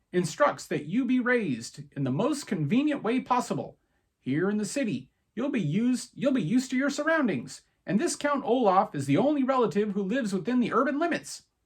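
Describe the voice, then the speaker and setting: This is a put-on character voice with very wide pitch swings. The pace is fairly quick. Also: man, extremely high pitch for a man. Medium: read story. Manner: brisk, businesslike.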